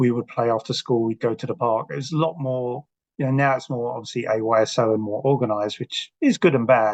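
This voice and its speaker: Speaking at a fairly quick pace with an English accent, a man at medium pitch keeps a fairly even intonation in a dry, close recording with no echo. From South London, England. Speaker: author. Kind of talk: podcast interview.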